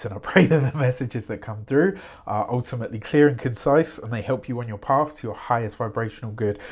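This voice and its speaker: A man puts on a raspy character voice at medium pitch with ordinary pitch variation. He rattles along at a very fast pace. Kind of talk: soft-spoken, reading-style. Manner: calm, spiritual, blessing-like.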